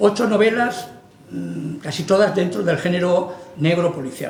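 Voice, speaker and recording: Amid noticeable background noise and audible room echo, a man speaks at a high pitch with ordinary pitch variation. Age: 60s. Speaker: writer. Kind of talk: book presentation talk. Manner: halting, conversational.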